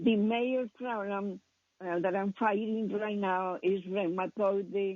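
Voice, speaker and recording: Woman's medium-pitched voice with a non-native accent at a very slow pace. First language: not English. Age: 80s+. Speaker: caller. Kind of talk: phone call to radio show. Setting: phone call. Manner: halting.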